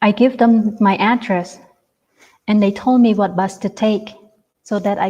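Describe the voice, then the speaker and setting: Moderate pace in a Cambodian accent, with a dark, mellow tone, somewhat breathy and in a monotone, flat intonation. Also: woman. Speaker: genocide survivor and refugee. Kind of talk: testimony. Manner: halting, with repetitions.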